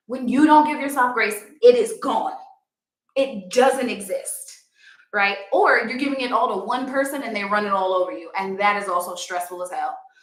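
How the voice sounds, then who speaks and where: An animated voice with an American accent swings very widely in pitch at a moderate pace. The room echo is audible. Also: woman, high pitch for a woman. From New York. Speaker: yoga instructor. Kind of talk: live stream talk.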